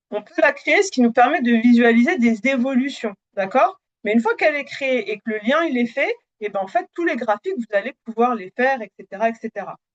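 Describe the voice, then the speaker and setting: A woman with a high pitch talks at a fairly quick pace with hardly any pauses and lively intonation, the sound dry and close with no echo. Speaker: Power BI trainer. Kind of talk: live webinar demo. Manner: hesitant, many fillers.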